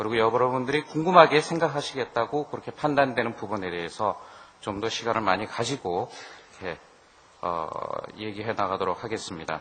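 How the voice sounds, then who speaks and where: A man talking at a fairly quick pace with lively intonation over noticeable background noise. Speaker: business consultant presenting at a seminar. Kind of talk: seminar presentation. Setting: seminar hall with audience. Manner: conversational, with fillers.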